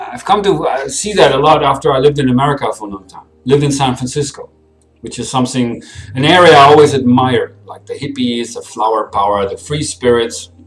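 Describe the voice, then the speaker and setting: A man's fairly high voice at a fairly quick pace, with big swings in loudness and music in the background. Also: ordinary pitch variation. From Germany. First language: German. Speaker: vlogger. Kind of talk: personal vlog monologue. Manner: fast, getting ahead of himself.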